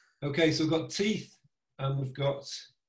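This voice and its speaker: A man speaks fairly slowly in a dark, mellow, somewhat breathy voice with fairly even intonation, with audible room echo against a quiet background. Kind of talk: tutorial. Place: home room. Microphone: video call.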